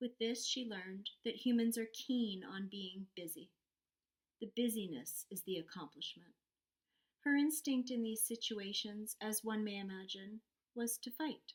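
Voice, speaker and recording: Here is an ordinary speaking voice from a woman, fairly high in pitch. She talks at a fairly slow pace. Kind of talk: story narration, read aloud.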